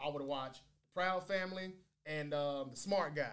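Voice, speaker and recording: A man speaks in an unremarkable speaking voice at a fairly high pitch. His pitch variation is ordinary and his pace moderate. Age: 40s. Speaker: podcast host. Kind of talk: casual debate chat.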